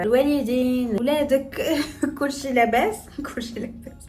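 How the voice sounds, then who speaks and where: In a Moroccan accent, the speaker talks at a fairly slow pace with an animated tone, and room echo is audible. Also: woman. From northern Morocco, Tetouan. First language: Moroccan Darija (speaking Arabic). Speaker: makeup artist and lifestyle vlogger. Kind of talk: casual vlog tutorial.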